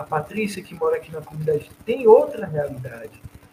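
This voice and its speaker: A man talks in a normal speaking voice with ordinary pitch variation. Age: 30s. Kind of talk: casual chat.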